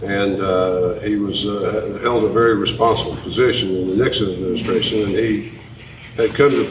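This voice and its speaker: Over noticeable background noise and audible room echo, a man with a Tennessee accent talks at a fairly quick pace in a fairly low pitch with ordinary pitch variation. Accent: Southern US (Tennessee). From US South, East Tennessee. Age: 60s. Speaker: presidential candidate. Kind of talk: town hall interview. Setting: town hall event.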